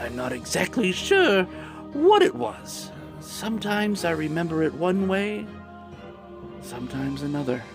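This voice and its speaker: A man in a put-on character voice at a moderate pace, with clear music in the background. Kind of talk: dramatic villain monologue. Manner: taunting, manic.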